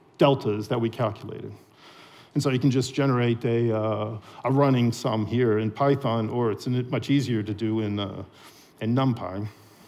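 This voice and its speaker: In a room with audible echo, a man talks at a moderate speed. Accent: American. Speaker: software developer. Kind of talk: conference talk. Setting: stage with audience. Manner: frequent fillers.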